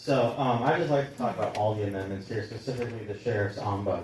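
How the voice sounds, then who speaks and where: Very fast man's speech with fairly even intonation, audible room echo and noticeable background noise. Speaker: public commenter. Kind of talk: public comment. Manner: halting.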